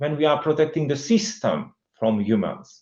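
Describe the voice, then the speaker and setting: A man with a Hungarian accent speaks at a moderate pace, his fairly high voice swinging very widely in pitch. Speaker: CEO of a security training firm. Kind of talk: interview conversation. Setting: recorded interview.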